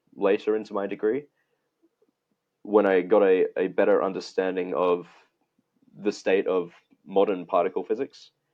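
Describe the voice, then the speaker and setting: Moderate pacing from a man in an Australian accent. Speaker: physics researcher. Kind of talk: interview conversation. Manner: halting, frequent restarts.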